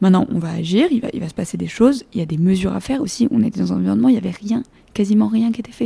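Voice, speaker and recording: Vocal fry marks this woman's dark, mellow tone at a medium pitch. She talks very fast with lively intonation. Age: 20s. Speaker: engineering graduate. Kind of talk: interview.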